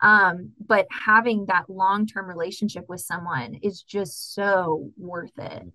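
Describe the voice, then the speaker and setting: Speaking at a very slow pace with an American accent, a woman of medium pitch has a bright, sharp tone, ordinary pitch variation and big swings in loudness. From Texas, San Antonio. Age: 20s. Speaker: graduate student, aquatic biologist. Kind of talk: interview, casual chat.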